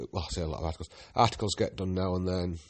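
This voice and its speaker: A man speaks with a Yorkshire accent. His pitch is very deep and low. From Yorkshire, northern England. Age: 40s. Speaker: podcast host and guidebook writer. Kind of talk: casual solo monologue. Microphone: new phone and headset, sound may be off.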